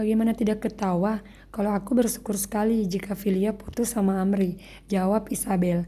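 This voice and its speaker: A woman's somewhat breathy voice, dark and mellow in tone, with monotone, flat intonation. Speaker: writer reading own story. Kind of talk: reading aloud. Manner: halting.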